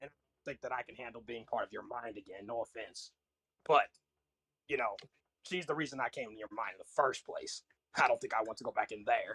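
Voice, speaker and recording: Doing a put-on character voice at a medium pitch, a man speaks at a fairly quick pace broken by long, frequent pauses. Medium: actual play. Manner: smug, chuckling.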